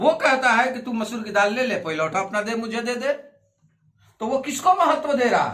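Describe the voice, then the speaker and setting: Raised and projected, a man's voice sits at an extremely high pitch and carries lively intonation. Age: 60s. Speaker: pastor. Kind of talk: sermon.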